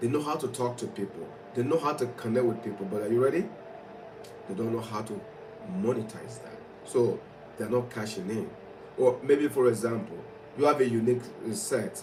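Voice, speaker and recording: The speaker has a strong non-native accent and an animated tone, moving at a fairly quick pace with ordinary pitch variation and long, frequent pauses. Audible room echo and noticeable background noise are present. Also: man, medium pitch for a man. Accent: thick foreign. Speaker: motivational speaker. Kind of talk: motivational livestream talk.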